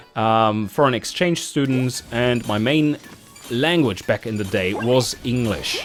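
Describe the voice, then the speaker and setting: A man with a German accent and a medium pitch at a fairly slow pace, with music in the background. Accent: German, clear and precise. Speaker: gaming YouTuber. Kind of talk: channel Q&A monologue. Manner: clearly articulated.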